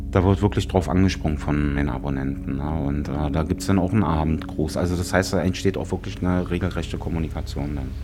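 The speech races along at a very fast pace with hardly any pauses and ordinary pitch variation, over noticeable background noise and audible room echo. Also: man, very deep, low pitch for a man. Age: 50s. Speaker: talent agency manager and photographer. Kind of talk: on-location interview. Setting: outdoors in a forest.

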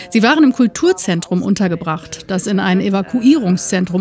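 Over music in the background, a woman of medium pitch speaks at a fairly quick pace with lively intonation. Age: 30s. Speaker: newspaper editor. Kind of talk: interview. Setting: outdoors.

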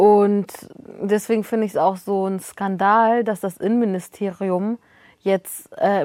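A woman at a medium pitch with an ordinary speaking voice, at a fairly slow pace, in a very clean recording with a silent background and a dry, close sound with no echo. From northern Germany. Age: 20s. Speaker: journalist and author. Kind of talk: casual chat.

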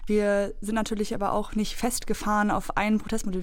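A woman speaks with fairly even intonation and a fairly high pitch, and the room echo can be heard. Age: 20s. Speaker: climate activist. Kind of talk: debate discussion. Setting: studio.

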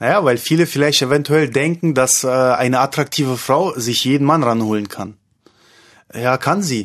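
A man talks at a moderate pace with a medium pitch and ordinary pitch variation. The background is quiet. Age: 30s. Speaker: male escort. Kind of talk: interview. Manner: halting.

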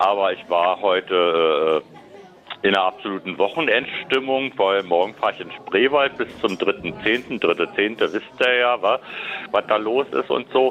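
A man speaks with a Berlin accent at a medium pitch and a fairly slow pace. His intonation is lively, with music playing in the background. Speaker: caller. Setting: phone call.

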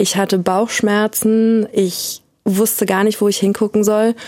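Monotone, flat intonation runs through this woman's medium-pitched speech. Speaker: person who stutters. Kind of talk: interview testimony.

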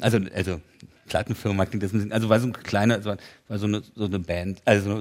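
This man talks at a fairly quick pace. His pitch sits fairly low. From East Berlin (Köpenick). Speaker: author. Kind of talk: casual interview chat.

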